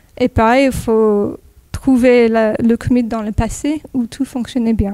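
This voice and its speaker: A woman with an American accent speaks very slowly in a fairly high voice, recorded dry and close with no echo. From California, US (near Los Angeles). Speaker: software developer, conference speaker. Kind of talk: technical talk. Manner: hesitant, many fillers.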